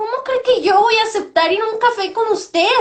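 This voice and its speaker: A put-on, female-sounding character voice, extremely high in pitch and fairly quick in pace. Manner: snooty, conceited.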